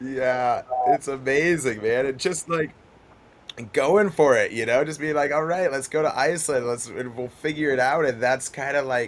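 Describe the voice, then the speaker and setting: A man's plain, everyday voice with an American accent, fairly high in pitch, at a moderate pace with ordinary pitch variation. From Montana, US. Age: 30s. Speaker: pro kayaker. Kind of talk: casual interview chat. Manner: laid-back, filler-heavy.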